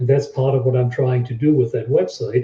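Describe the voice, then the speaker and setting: The man's dark, mellow tone is somewhat breathy, sitting at a medium pitch. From Germany. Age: 60s. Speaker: website owner and local resident. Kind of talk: interview.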